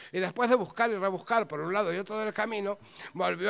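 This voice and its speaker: A man's voice comes with a bright, sharp tone and a high pitch. He speaks at a fairly quick pace. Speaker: storyteller. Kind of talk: live storytelling, humorous tale told to an audience. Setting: stage with audience. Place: stage. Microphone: handheld.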